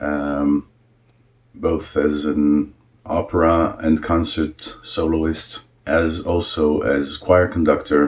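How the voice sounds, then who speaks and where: Very slowly, a man speaks. His pitch is very deep and low, and his intonation is monotone and flat. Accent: Israeli. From Israel. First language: Hebrew. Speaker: cantor. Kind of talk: self-introduction video. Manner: hesitant, with many fillers.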